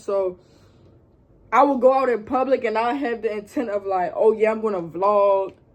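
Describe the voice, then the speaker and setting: Speaking at a moderate pace with fairly even intonation, a woman with a Baltimore accent has a fairly high pitch. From Baltimore, Maryland, US. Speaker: YouTube vlogger. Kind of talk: casual vlog Q&A. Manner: casual, filler-heavy.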